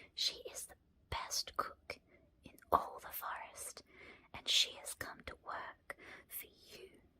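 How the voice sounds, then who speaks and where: A woman whispers in a gentle tone at a very slow pace, with long, frequent pauses. Her loudness swings widely. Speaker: ASMR creator and storyteller. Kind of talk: bedtime story reading. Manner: soft-spoken, gentle.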